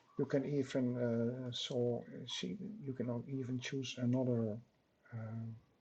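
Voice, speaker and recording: A man with a Dutch accent speaks at a very slow pace in a somewhat breathy, dark, mellow voice of medium pitch, with monotone, flat intonation. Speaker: software tutorial maker. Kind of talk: tutorial. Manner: halting, many fillers.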